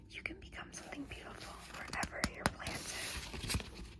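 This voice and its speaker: A woman whispers over noticeable background noise. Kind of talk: poetry reading. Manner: whispered, soft-spoken.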